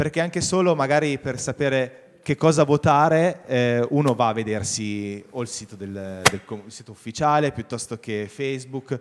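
A plain, everyday voice from a man, medium in pitch with ordinary pitch variation and big swings in loudness, at a moderate pace over light background noise. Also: hardly any pauses. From Vercelli, Piedmont, northern Italy; Piedmont, Italy. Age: young. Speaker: local carnival organizer; TV guest. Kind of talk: TV talk show interview. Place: studio. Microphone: handheld.

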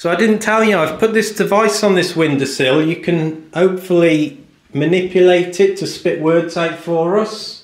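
Audible room echo surrounds speech that has hardly any pauses. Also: man, high pitch for a man, ordinary pitch variation, moderate pace. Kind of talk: casual vlog chat. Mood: hushed, curious. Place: home room. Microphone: phone near.

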